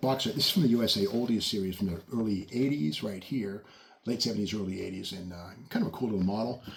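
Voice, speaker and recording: At a very fast pace, a man with a fairly low, somewhat breathy voice speaks with ordinary pitch variation. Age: 60s. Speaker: car and model-kit video host. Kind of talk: casual show-and-tell video. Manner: casual, with frequent fillers.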